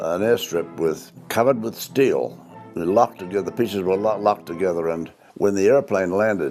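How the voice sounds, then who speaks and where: With music in the background, a man speaks at a fairly quick pace in a fairly low pitch with ordinary pitch variation. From New Zealand. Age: 90s. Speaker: war veteran. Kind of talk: interview testimony. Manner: halting, with hesitations.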